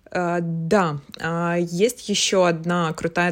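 Here a woman speaks in a fairly low voice. Her intonation is monotone and flat. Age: 30s. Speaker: art director. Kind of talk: casual chat.

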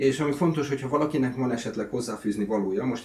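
A man talks at a very fast pace in a somewhat breathy voice with ordinary pitch variation. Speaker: video host. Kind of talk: casual interview.

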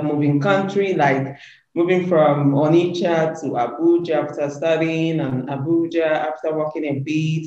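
Noticeable background noise surrounds a man with a fairly high pitch. He talks at a fairly slow pace with ordinary pitch variation. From Nigeria, Anambra State (Igbo). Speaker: media entrepreneur and show host. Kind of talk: interview. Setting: video call.

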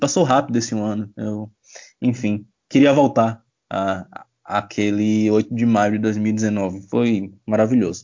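A man talks at a fairly slow pace in an ordinary speaking voice, fairly low-pitched with fairly even intonation. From Bahia, Brazil. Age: 20s. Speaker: sports journalist. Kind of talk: casual chat.

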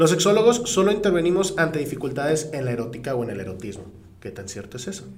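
A man talks at a very fast pace in an animated tone, his fairly high voice making very wide pitch swings and big swings in loudness. Audible room echo and noticeable background noise surround him. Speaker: podcast co-host. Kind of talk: casual chat.

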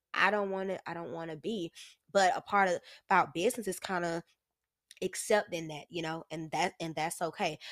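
An unremarkable speaking voice: a woman at a fairly low pitch and fairly quick pace, with fairly even intonation and big swings in loudness, in a very clean recording with a silent background and a dry, close sound with no echo. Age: 20s. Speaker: entrepreneur selling lingerie. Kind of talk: casual interview conversation. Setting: studio.

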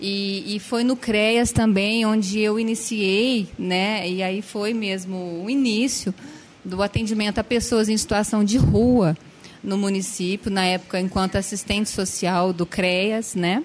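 An unremarkable speaking voice from a woman, medium in pitch, with fairly even intonation and a fairly slow pace. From Franca, São Paulo state, Brazil. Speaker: social worker. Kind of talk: casual interview.

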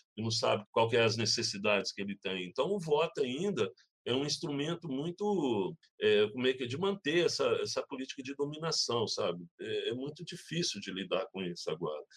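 Male speech at a moderate pace, dry and close with no echo. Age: 60s. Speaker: community organizer. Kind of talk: interview, casual. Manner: halting, repeats words.

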